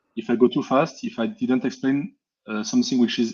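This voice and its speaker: A man with a French accent and a dark, mellow tone, talking at a very fast pace. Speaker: hardware hacker presenting software. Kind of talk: technical presentation.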